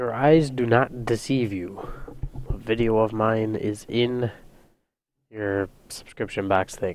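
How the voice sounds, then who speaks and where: A man's medium-pitched voice at a very slow pace, with fairly even intonation and long, frequent pauses. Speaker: video game let's play commentator. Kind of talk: casual gameplay commentary. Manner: soft-spoken, relaxed.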